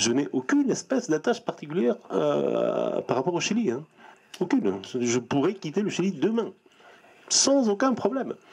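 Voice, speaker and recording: A man's high-pitched voice at a moderate pace, with very wide pitch swings and long, frequent pauses. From Chile. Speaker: writer. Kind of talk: interview. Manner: halting, repetitive.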